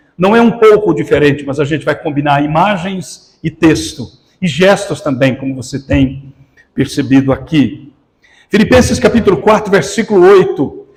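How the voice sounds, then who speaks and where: A man's plain, everyday voice, fairly high-pitched, with lively intonation at a moderate pace. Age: 60s. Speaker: pastor. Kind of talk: sermon.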